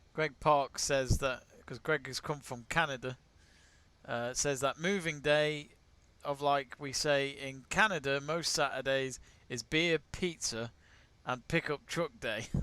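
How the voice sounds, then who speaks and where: In an English accent, a man speaks at a fairly slow pace with a fairly high pitch. His tone is bright and sharp, and his intonation fairly even. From England. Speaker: sports watch-along host. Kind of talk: live watch-along commentary and chat. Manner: casual.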